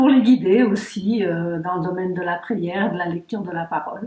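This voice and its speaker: The voice belongs to a woman who keeps a moderate pace. Her pitch rises and falls in an ordinary way. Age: 60s. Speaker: church member giving testimony. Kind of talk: testimony interview. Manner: hesitant, many fillers.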